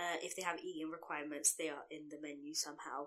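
A woman's bright, sharp tone with fairly even intonation. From London. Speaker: podcast co-host. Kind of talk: casual chat.

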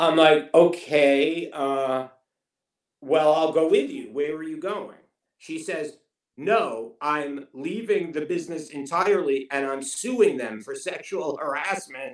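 With a New York accent, a man of fairly high pitch speaks at a very slow pace with ordinary pitch variation and big swings in loudness. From Queens, New York. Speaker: TV writer and showrunner. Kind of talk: casual interview chat.

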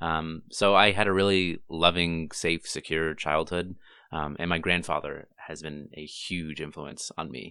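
A man's very deep, low voice at a fairly slow pace, with big swings in loudness, fairly even intonation, and a quiet background. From Canada. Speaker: brand strategist and speaker. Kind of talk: casual interview. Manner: halting, with repeated words and fillers.

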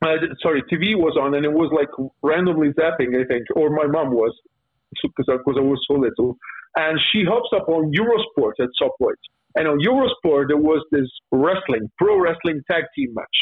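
Speaking at a moderate pace with an Italian accent, a man with a fairly high pitch keeps his loudness very even. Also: lively intonation. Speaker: professional wrestler. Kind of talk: podcast interview. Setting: video call. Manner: halting.

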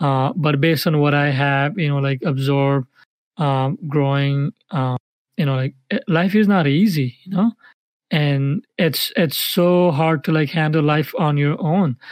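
In an ordinary speaking voice, a man with a fairly high pitch talks at a fairly slow pace with ordinary pitch variation, the sound dry and close with no echo. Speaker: podcast co-host. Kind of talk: casual chat. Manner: filler-heavy, casual.

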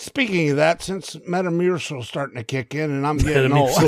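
A man with a fairly high pitch talks at a fairly quick pace in an ordinary speaking voice, with ordinary pitch variation. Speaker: podcast co-host. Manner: joking, casual.

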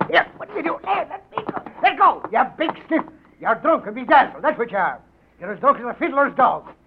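A man's put-on character voice at an extremely high pitch, with a slightly husky edge, big pitch swings and a fairly quick pace

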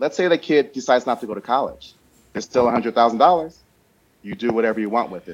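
This man has an unremarkable speaking voice, with an American accent, medium pitch, lively intonation and a fairly quick pace. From US Midwest, Chicago South Side. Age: 50s. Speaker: insurance consultant and financial educator. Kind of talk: interview.

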